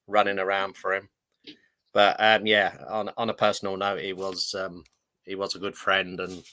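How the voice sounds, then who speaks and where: With a northern English accent, a man speaks at a moderate pace in a fairly low voice with a bright, sharp tone. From London (Fulham). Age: 60s. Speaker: retired footballer. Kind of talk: interview.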